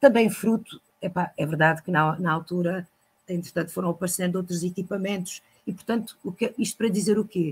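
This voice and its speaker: A woman's medium-pitched, somewhat breathy voice at a fairly quick pace, with ordinary pitch variation. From Lagos, Portugal. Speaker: storyteller and librarian. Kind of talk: interview answer.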